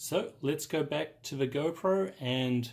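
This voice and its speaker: This man's voice sits fairly high. There is a somewhat breathy quality to it. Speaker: tech youtuber. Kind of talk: tutorial. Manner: casual.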